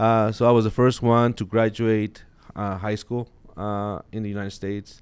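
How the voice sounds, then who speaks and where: A man talks at a moderate pace in a fairly low pitch. His intonation is monotone and flat, with a slight Mexican accent. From Mexico (Chihuahua), moved to Colorado at 13. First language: Spanish. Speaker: sheriff's office captain. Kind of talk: interview. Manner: hesitant, many fillers.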